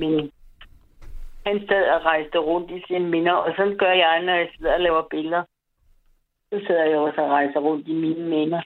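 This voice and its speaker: At a moderate pace, a woman speaks in a monotone, flat intonation, leaving long, frequent pauses. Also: fairly low pitch for a woman. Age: 70s. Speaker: caller. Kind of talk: phone-in chat.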